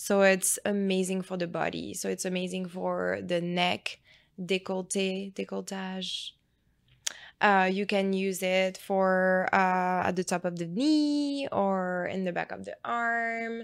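The speaker has a French accent and ordinary pitch variation. The pace is fairly slow on a very clean recording with a silent background. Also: woman, medium pitch for a woman. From France. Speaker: nurse injector. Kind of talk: casual interview chat.

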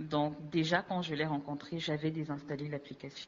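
Her voice very deep and low, a woman speaks at a fairly slow pace. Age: 20s. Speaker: dating app user sharing her story. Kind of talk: interview testimony.

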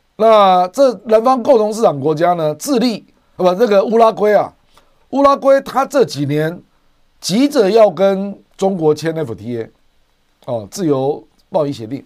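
This man's voice is high and swings very widely in pitch. He goes at a fairly slow pace with long, frequent pauses. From Taiwan. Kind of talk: livestream commentary on international politics. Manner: frequent filler particles (啊, 哈).

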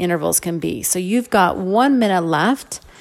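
An energetic, upbeat woman at a moderate pace, with noticeable background noise. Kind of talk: fitness class instruction. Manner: upbeat, encouraging coaching tone; clear, energetic, directive cues.

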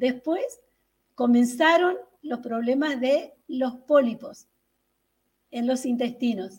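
Very slow and broken by long, frequent pauses, a woman's high-pitched voice shows ordinary pitch variation. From Tucumán, northern Argentina. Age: 60s. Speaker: health testimony guest. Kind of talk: testimony. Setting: video call. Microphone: far from the camera.

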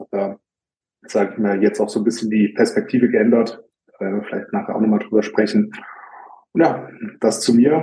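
The speaker keeps a moderate pace and ordinary pitch variation, broken by long, frequent pauses. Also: man, medium pitch for a man. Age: 20s. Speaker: bodybuilder. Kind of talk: casual chat.

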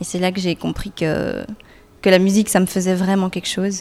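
A woman's voice at medium pitch. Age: young. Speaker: singer-songwriter. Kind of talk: interview. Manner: hesitant.

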